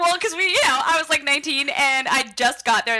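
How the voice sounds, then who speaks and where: A woman's raised, projected voice over noticeable background noise. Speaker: guest. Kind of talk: casual chat.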